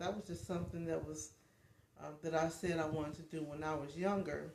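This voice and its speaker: A woman speaks at a moderate pace with a fairly low pitch and fairly even intonation. The room echo is audible. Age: 50s. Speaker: life coach and vlogger. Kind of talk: casual livestream chat. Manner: halting, many fillers.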